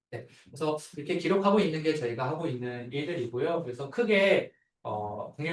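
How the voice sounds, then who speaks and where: A man talks at a fairly quick pace in a fairly high, somewhat breathy voice. His intonation is lively. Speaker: architect. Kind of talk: seminar talk. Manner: fast; filler-heavy.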